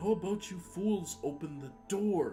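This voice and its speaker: Clear music plays behind a put-on character voice at middle pitch, delivered at a moderate pace. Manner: growling, scornful.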